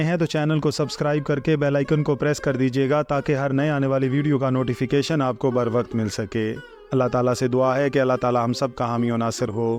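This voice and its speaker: Music plays in the background while a man speaks. His pitch is fairly high and his intonation fairly even. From Pakistan. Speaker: voice-over artist. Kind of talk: scripted narration. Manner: formal.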